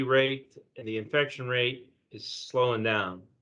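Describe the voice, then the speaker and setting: A man with a normal speaking voice at a medium pitch talks at a fairly slow pace with fairly even intonation. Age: 60s. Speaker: newspaper reporter. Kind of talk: news discussion.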